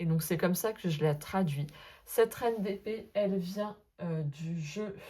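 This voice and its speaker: At a fairly slow pace, a woman speaks in a fairly low, somewhat breathy voice with ordinary pitch variation. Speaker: sophrologist and tarot content creator. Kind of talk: casual vlog monologue. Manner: hesitant, many fillers.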